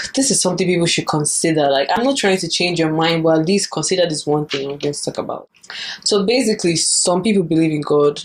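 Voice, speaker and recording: A woman speaks very fast at a fairly low pitch with ordinary pitch variation, over noticeable background noise. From Nigeria. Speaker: YouTuber. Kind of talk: casual talk to camera.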